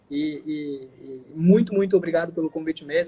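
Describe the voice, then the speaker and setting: This is a man speaking. His pitch is high. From Santa Catarina, southern Brazil. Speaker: financial education specialist. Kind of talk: live stream interview. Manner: fast; animated.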